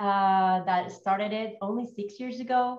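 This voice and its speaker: With audible echo in the room, a woman speaks at a fairly slow pace. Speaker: conservation organization speaker. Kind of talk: conference presentation.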